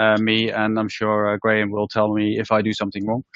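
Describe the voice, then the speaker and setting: A man with a Dutch accent at a fairly quick pace. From Netherlands. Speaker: healthcare organisation leader. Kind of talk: presentation talk. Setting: room with live audience and webinar.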